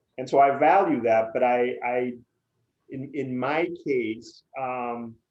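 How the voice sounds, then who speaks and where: A man of medium pitch speaks at a very slow pace with fairly even intonation and big swings in loudness, in a room with audible echo. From Puerto Rico, San Juan. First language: Spanish. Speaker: PR agency executive. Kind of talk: interview.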